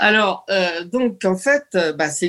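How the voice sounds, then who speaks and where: A woman speaks at a very slow pace with a fairly low pitch. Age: 70s. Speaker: senior gamer, association ambassador. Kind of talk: interview.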